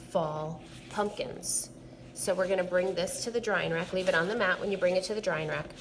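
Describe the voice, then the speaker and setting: An ordinary speaking voice from a woman at medium pitch, with ordinary pitch variation and a moderate pace. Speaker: art teacher. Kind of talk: tutorial.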